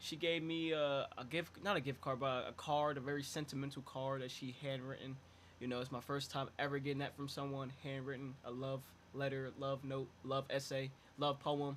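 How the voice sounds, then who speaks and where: With monotone, flat intonation, a man speaks at a moderate pace and a fairly high pitch. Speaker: podcast co-host. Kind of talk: casual chat. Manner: halting, stuttering.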